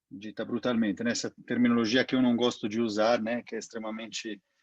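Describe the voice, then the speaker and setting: A man's medium-pitched voice with an Italian accent, dry and close with no echo. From Italy. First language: Italian (speaking Portuguese). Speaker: NGO director. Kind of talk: interview. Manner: halting.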